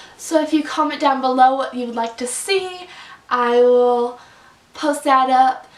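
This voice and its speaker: The speaker goes at a fairly slow pace with ordinary pitch variation, amid noticeable background noise and audible room echo. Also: woman, high pitch for a woman. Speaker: book reviewer. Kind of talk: casual vlog review. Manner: animated.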